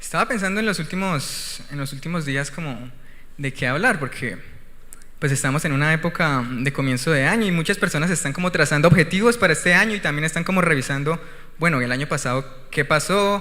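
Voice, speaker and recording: With audible room echo, a man talks at a fairly quick pace, his pitch fairly high and his pitch variation ordinary. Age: 20s. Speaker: missionary and guest preacher. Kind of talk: sermon; testimony. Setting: church.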